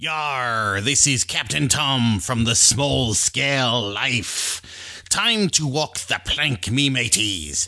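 Over a quiet background, a man puts on a character voice at medium pitch and a very slow pace. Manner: gruff, playful.

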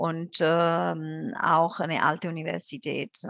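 In an Italian accent, a woman with a fairly low pitch speaks very slowly, the sound dry and close with no echo and a quiet background. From southern Italy, Campania (Benevento). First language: Italian (speaking German). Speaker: tourism board representative. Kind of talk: casual interview.

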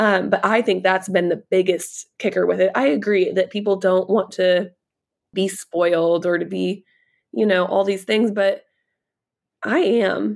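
A woman's normal speaking voice, medium in pitch, at a fairly slow pace, with fairly even intonation and very even loudness. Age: 30s. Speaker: content creator. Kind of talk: casual chat.

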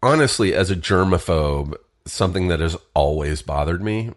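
This man's pitch is very deep and low. He talks at a fairly slow pace. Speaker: podcast host. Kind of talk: casual solo podcast monologue.

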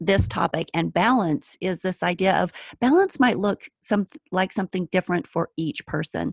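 A woman with an American accent talks at a fairly slow pace, her medium pitch showing ordinary variation and some vocal fry. The sound is dry and close, with no echo. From United States. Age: 40s. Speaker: podcast host and folklore researcher. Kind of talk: interview conversation.

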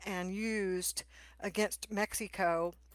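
On a very clean recording with a silent background and a dry, close sound with no echo, a woman speaks with a Texan accent and fairly even intonation. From Texas. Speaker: podcast host and attorney. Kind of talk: interview conversation.

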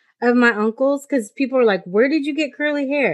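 Over a quiet background, a woman talks at a fairly quick pace with lively intonation. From Mexican-American. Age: 40s. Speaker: podcast host. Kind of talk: casual chat.

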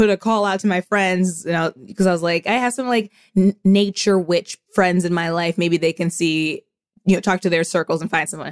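A woman speaks in an ordinary speaking voice at medium pitch and a moderate pace, with fairly even intonation, on a very clean recording with a silent background. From US Midwest, Indianapolis, Indiana. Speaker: podcaster. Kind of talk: casual chat.

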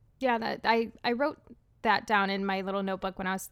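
The recording is very clean, with a silent background. A woman with an ordinary speaking voice talks at a fairly quick pace, at medium pitch, with fairly even intonation. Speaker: podcast co-host. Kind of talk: casual chat.

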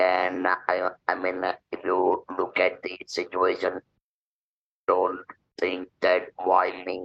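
A man speaks at a very slow pace, leaving long, frequent pauses. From India. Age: 70s. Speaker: cancer survivor and motivational speaker. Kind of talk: interview. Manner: spontaneous, hesitant with fillers.

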